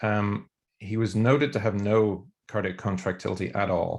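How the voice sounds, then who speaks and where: Fairly slow speech from a man with an Irish accent and a fairly low pitch, in a very clean recording with a silent background. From Ireland. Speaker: emergency physician and researcher. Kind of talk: academic discussion. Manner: hesitant, many fillers and repeats.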